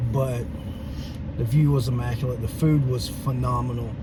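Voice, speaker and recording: There is audible room echo and noticeable background noise as a man speaks at a medium pitch. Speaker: vlogger. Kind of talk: casual chat. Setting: outdoors.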